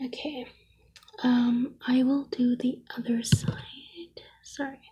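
Soft-spoken whispering at a very slow pace against a quiet background. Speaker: ASMR creator. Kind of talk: ASMR whispering / soft-spoken pampering roleplay. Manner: whispered, soft-spoken. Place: home room.

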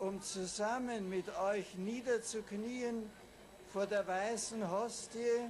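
Over light background noise, a man with a high pitch talks at a very slow pace with fairly even intonation. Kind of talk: formal speech. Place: boat. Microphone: podium.

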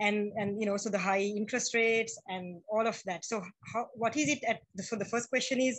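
Fairly quick and somewhat breathy, a woman's fairly high voice keeps fairly even intonation over a quiet background. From Sri Lanka. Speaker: feminist activist. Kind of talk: audience question. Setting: video call. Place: home room. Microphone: video call.

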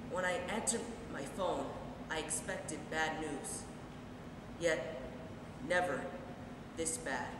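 A man talks at a fairly slow pace with ordinary pitch variation. Audible room echo and noticeable background noise surround him. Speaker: actor performing a monologue. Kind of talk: dramatic monologue. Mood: grief and anger. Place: stage. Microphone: camera far.

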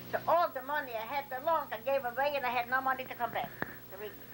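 Noticeable background noise sits behind the recording. A woman talks at a very fast pace. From Poland. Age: 80s+. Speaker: immigrant grandmother. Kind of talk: interview answer. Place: home room. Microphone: old recording.

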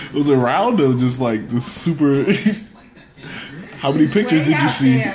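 A man's fairly high-pitched voice against noticeable background noise. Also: ordinary pitch variation, moderate pace. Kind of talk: casual conversation at home. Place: home room. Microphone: phone near.

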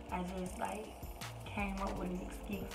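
A woman at a moderate pace, with clear music in the background. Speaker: vlogger. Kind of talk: casual vlog chat. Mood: chatty, amused storytelling. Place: home room. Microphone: phone near.

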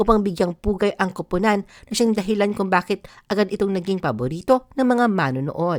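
In a very clean, dry, close recording with a silent background and no echo, a woman speaks at a moderate pace and medium pitch with ordinary pitch variation, in an ordinary speaking voice. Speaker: showbiz channel narrator. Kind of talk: scripted narration.

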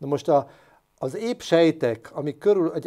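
A dark, mellow tone with lively intonation against a quiet background. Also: man. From Hungary. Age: 60s. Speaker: doctor; guest. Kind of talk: interview. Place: studio. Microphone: lapel.

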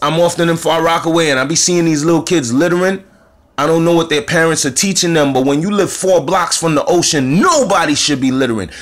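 A man talks very fast in a high voice. His tone is animated. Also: ordinary pitch variation. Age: 40s. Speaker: spiritual commentator. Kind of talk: monologue. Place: home room. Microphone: phone near.

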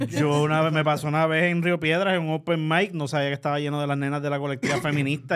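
A man speaks very fast with a Puerto Rican accent and a fairly high pitch. The background is quiet. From Puerto Rico. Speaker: podcast co-host. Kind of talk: casual chat. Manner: animated. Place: studio. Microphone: studio mic.

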